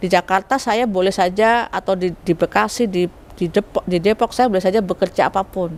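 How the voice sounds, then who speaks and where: This is a plain, everyday voice with fairly even intonation, moving at a fairly quick pace. The sound is dry and close, with no echo. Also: woman, medium pitch for a woman. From Central Java (Solo). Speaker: sociology lecturer, faculty vice dean. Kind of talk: interview, academic explanation. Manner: conversational, with frequent fillers.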